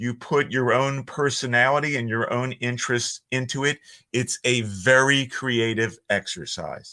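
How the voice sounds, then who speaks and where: A fairly slow, bright and sharp voice in a Philadelphia accent, with fairly even intonation on a very clean recording over a silent background. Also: man, medium pitch for a man. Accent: Philly. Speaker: voiceover artist. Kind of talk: casual chat.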